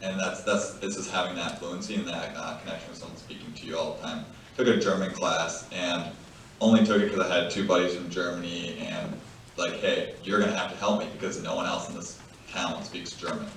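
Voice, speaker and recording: Fairly quick male speech with big swings in loudness, audible room echo and noticeable background noise. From Bulgaria, then US. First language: Bulgarian. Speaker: former foster youth. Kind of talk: panel discussion.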